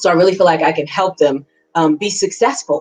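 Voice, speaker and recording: Speaking at a moderate pace with an American accent, a woman with an unremarkable speaking voice and fairly low pitch is heard in a dry, close recording with no echo. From New York City. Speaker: political candidate. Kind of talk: interview.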